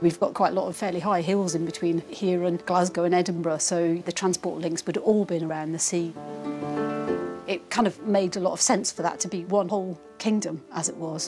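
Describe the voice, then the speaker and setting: Over music in the background, a woman talks at a fairly quick pace with fairly even intonation. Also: fairly low pitch for a woman. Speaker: archaeologist. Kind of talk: interview answer.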